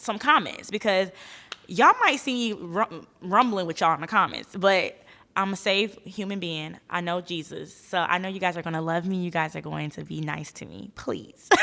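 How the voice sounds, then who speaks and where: A woman speaks at a moderate pace in a bright, sharp, animated tone. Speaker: podcast host. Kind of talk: casual monologue. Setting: studio.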